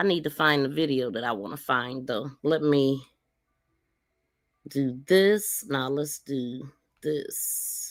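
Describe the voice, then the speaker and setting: Very slow and marked by long, frequent pauses, a woman's voice has a very deep, low pitch and ordinary pitch variation. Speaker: livestream news commentator. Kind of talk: casual live commentary.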